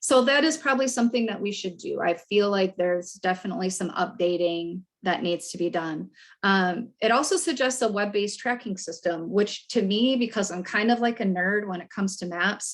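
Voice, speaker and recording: A woman's medium-pitched voice with ordinary pitch variation and hardly any pauses. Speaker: state air quality staff presenter. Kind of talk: conference presentation. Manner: fast.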